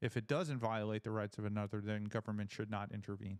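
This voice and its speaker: Delivered at a very fast pace in an American accent, the speech comes on a very clean recording with a silent background. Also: man. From New York. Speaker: podcast host, Marine veteran. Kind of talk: casual chat. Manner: animated.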